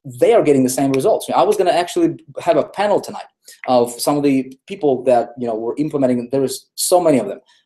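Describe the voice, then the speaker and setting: A man talks at a very fast pace in a dark, mellow tone. His pitch is medium, with ordinary pitch variation. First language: not English. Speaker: online marketing trainer. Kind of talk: live webinar lecture. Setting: live video hangout. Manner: animated.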